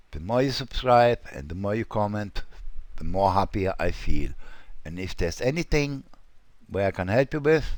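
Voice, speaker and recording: This man speaks at a fairly slow pace. His pitch swings very widely up and down. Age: 60s. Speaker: web design tutorial creator. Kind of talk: tutorial. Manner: casual, hesitant with fillers.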